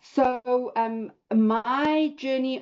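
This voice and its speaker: With a South African accent, the speaker uses ordinary pitch variation against a quiet background. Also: woman. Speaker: real estate investor. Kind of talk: personal story talk in online class. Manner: hesitant, many fillers.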